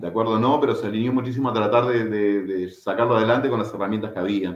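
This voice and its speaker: A man speaks at a medium pitch and a fairly quick pace in a plain, everyday voice. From Buenos Aires suburbs, Argentina (Merlo), Uruguayan parents. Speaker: martial arts instructor. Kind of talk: casual interview.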